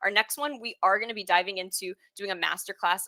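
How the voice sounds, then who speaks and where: Bright and sharp in tone, a woman talks at a fairly quick pace with a dry, close sound that has no echo. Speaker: webinar host. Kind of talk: webinar presentation. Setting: live online webinar. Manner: fast.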